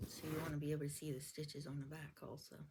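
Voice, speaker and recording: Somewhat breathy, a woman speaks with very deep, low pitch and monotone, flat intonation. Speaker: quilting teacher. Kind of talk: tutorial. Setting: home, camera in front of her.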